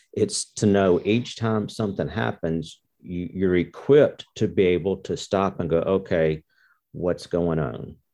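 Against a quiet background, a man with a very deep, low voice and a dark, mellow tone speaks at a fairly slow pace with ordinary pitch variation. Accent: Mississippi. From US South, Mississippi. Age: 60s. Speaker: course participant. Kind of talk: interview.

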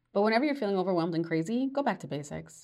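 On a very clean recording with a silent background, a woman talks in an ordinary speaking voice with an American accent. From New York. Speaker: podcast host and life coach. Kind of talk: solo podcast monologue.

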